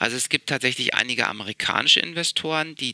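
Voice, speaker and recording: Over a dry, close sound with no echo, a man talks at a fairly quick pace with lively intonation. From Berlin, Germany. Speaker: investor and founder. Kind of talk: interview. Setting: office in a palace, remote call.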